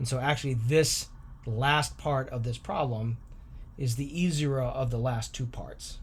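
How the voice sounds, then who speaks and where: A man's somewhat breathy, medium-pitched voice, fairly slow in pace and fairly even in intonation. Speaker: math teacher. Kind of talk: tutorial.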